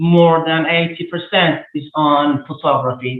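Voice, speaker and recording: A man speaks at a very slow pace with a fairly high pitch. His intonation stays fairly even. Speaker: photographer giving a guest lecture. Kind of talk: lecture. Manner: halting, many filler words.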